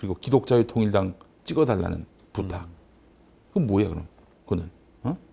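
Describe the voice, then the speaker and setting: With a dark, mellow tone and a fairly low pitch, a man talks somewhat breathily at a fairly quick pace, with ordinary pitch variation and long, frequent pauses. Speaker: nonprofit chairman and commentator; commentator. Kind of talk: panel discussion. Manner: animated. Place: studio. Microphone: lapel.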